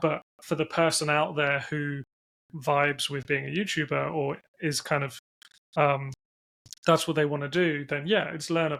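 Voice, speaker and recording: With long, frequent pauses, a man talks at a moderate pace in a fairly high, bright, sharp voice with fairly even intonation. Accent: English. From England. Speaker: internet business founder and CEO. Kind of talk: interview. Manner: monotone; hesitant, many fillers.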